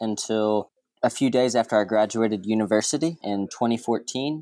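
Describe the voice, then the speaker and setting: Dark and mellow in tone, a man speaks with an American accent. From small-town Texas, US. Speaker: expat remote worker. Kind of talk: casual interview chat.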